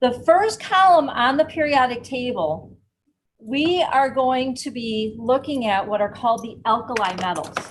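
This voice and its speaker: At a fairly slow pace, a woman speaks with lively intonation and high pitch, and room echo can be heard. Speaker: chemistry professor and science educator. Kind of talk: live science demonstration lecture.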